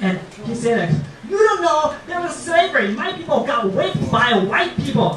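A man with a Japanese accent speaks with very wide pitch swings, and the recording has audible room echo and noticeable background noise. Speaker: stand-up comedian. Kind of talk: stand-up comedy routine. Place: stage.

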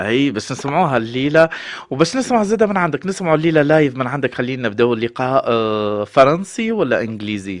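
A man speaks with a Tunisian accent at a fairly quick pace. His fairly high voice makes very wide pitch swings. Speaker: radio host. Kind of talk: radio interview.

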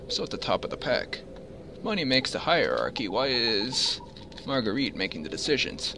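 The man here keeps a moderate pace. Behind him, noticeable background noise is audible. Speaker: gaming video commentator. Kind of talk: casual gameplay commentary, some reading aloud. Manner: thinking aloud, conversational.

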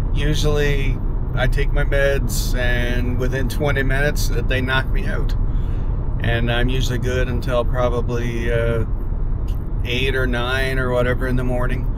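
A man at a moderate pace, with loud background noise and a dry sound with no echo. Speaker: vlogger. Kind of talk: casual vlog chat. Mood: candid, reflective about struggles. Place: car. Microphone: phone near.

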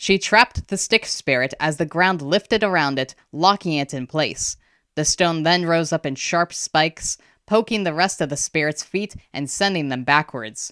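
Heard in a dry, close sound with no echo, a woman with a plain, everyday voice speaks at a fairly low pitch and a moderate pace with ordinary pitch variation. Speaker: audiobook narrator. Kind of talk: audiobook reading of a fantasy novel, narrated with character voices.

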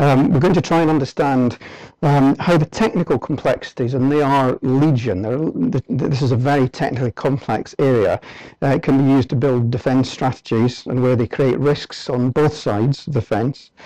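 A man speaks at a moderate pace with a dark, mellow tone and ordinary pitch variation. His loudness is very even, and the sound is dry with no echo over a quiet background. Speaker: presenter. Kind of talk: lecture. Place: hall.

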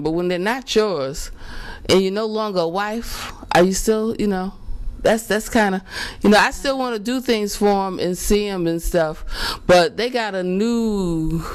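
A woman speaks at medium pitch. Her voice shows ordinary pitch variation. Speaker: talk show host. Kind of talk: casual interview. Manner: animated.

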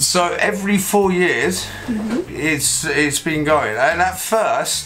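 Faint music plays in the background behind a man's voice. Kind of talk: interview answer. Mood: jokey, relaxed. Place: boat. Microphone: camera far.

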